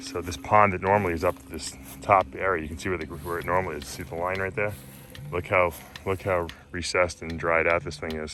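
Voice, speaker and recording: Very fast and very deep, a man's voice has ordinary pitch variation and big swings in loudness. Noticeable background noise is present. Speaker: aquarium hobbyist vlogger. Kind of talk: casual vlog narration. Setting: outdoors.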